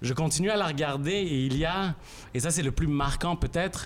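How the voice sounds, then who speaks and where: An unremarkable speaking voice from a man, fairly quick in pace, with ordinary pitch variation. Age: 30s. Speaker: journalist and columnist. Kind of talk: reading aloud. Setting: stage with audience.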